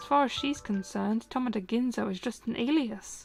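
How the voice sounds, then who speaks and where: A soft-spoken woman at a fairly high pitch and moderate pace, with ordinary pitch variation and music in the background. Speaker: streamer. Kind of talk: audiobook reading.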